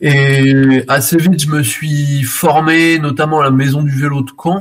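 This is a man's voice. It sounds somewhat breathy. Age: 30s. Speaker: bicycle repair entrepreneur. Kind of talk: radio interview. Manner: halting, many hesitations.

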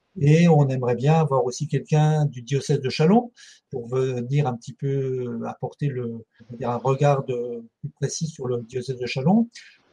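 Here is a man with a dark, mellow tone and a somewhat breathy sound. He speaks at a moderate pace. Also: medium pitch for a man. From France, Ardennes. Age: 60s. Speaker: charity volunteer leader, retired social centre director. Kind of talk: interview. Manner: halting, many hesitations.

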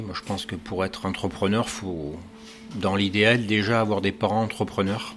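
A man speaks at a moderate pace with a fairly low pitch and fairly even intonation. Noticeable background noise is present. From southwestern France, Gironde. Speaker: pastry chef. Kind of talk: interview. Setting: in his pastry shop. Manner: hesitant, frequent repetitions and fillers.

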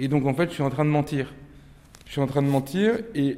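A man's fairly high voice with a dark, mellow tone, fairly even intonation, and a fairly quick pace. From Nantes, western France. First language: Turkish (speaking French). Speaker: novelist. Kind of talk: interview with inmates.

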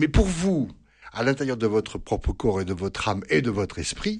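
A man talks at a fairly slow pace with vocal fry and very wide pitch swings. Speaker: priest and psychologist. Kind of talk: radio interview answering listener questions. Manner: hesitant, many fillers.

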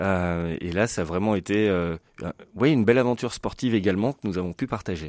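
In a normal speaking voice, a man with a fairly low pitch talks at a moderate pace with ordinary pitch variation, captured in a very clean recording with a silent background and a dry, close sound with no echo. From France, Lyon. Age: 40s. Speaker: commercial diver and association founder. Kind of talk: radio interview.

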